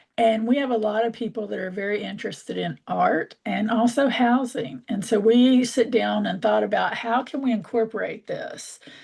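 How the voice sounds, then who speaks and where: Using vocal fry, a woman speaks at a moderate pace with hardly any pauses, at a fairly high pitch with ordinary pitch variation. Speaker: community organizer. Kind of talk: online workshop presentation.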